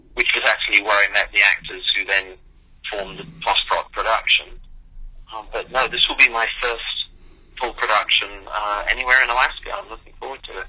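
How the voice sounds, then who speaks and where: A man with an English accent speaks with big swings in loudness. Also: fairly quick pace. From New York. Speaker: playwright. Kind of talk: interview. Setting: phone call.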